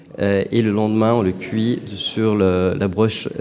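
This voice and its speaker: Over noticeable background noise, a man with a fairly low pitch talks at a very slow pace with fairly even intonation. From Turkey. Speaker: food truck owner. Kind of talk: radio interview.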